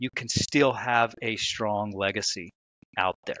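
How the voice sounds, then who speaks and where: A man with an American accent speaks at a fairly slow pace in a fairly low, bright, sharp voice with ordinary pitch variation. The sound is dry with no echo. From United States. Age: 50s. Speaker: author; podcast guest. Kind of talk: interview. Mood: reflective, earnest. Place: home room. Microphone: headset.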